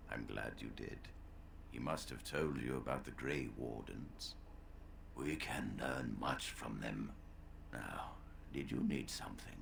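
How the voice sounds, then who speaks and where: A man's put-on character voice at a fairly slow pace, with long, frequent pauses over loud background noise. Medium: video game. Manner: measured, formal.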